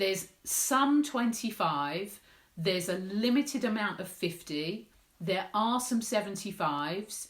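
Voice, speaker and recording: Somewhat breathy and at a medium pitch, a woman with an English accent speaks fairly slowly with lively intonation. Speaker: menopause support campaigner. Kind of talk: live Q&A vlog.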